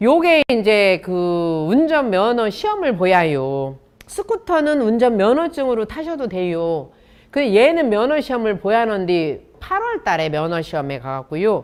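In a Chungcheong accent, a woman speaks at a fairly high pitch. Her pace is fairly slow and her pitch swings very widely. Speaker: professor and chef. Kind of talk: talk to an audience. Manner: lively, humorous.

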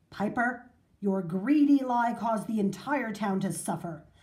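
Plain reading aloud carries ordinary variation in pitch.

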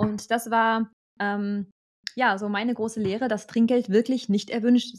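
Over a quiet background, a woman speaks at a fairly high pitch with fairly even intonation. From Germany. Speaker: German expat in Australia; channel host. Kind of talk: casual chat. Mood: amused storytelling. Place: home room. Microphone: studio mic.

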